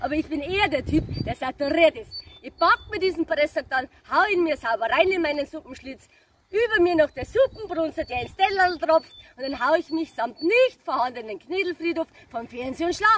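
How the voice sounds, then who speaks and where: A woman with a Bavarian accent speaks at an extremely high pitch. Her intonation is lively, with big swings in loudness. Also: moderate pace, dry sound with no echo. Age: 30s. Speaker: cabaret comedian. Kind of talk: stage cabaret performance. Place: open country. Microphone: camera far.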